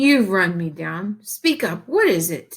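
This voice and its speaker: A female-sounding voice puts on a growling character voice. The pitch sits in the middle range. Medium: read story. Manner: gruff, commanding.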